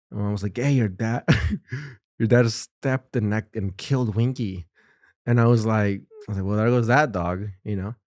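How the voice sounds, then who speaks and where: In a very clean recording with a silent background and a dry, close sound with no echo, a man with an unremarkable speaking voice talks at a moderate pace and fairly low pitch, his intonation fairly even. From United States, Mexican-American. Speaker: stand-up comedian and podcaster. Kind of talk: casual podcast chat.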